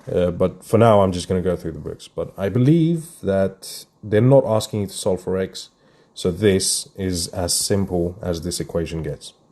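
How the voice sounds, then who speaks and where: A man mumbles in a very deep, low pitch with a dark, mellow tone. The background is quiet. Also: ordinary pitch variation, moderate pace. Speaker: maths tutor. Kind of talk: live math workshop tutorial. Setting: live stream. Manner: mumbling; casual, thinking aloud.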